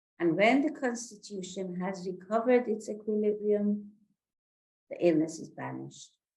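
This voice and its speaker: A woman talks at a moderate pace and medium pitch, with ordinary pitch variation. Her tone is dark and mellow and somewhat breathy, and her loudness swings widely. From Iran. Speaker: consultant psychiatrist. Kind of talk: religious talk / lecture.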